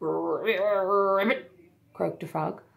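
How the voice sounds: The voice heard is a natural reading voice.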